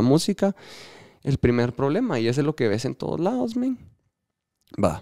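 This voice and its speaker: Against a quiet background, a man with a Guatemalan accent speaks at a moderate pace in a dark, mellow tone. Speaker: electronic music DJ; podcast guest, DJ. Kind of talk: casual interview chat. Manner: halting, repeats words. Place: studio. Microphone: studio mic.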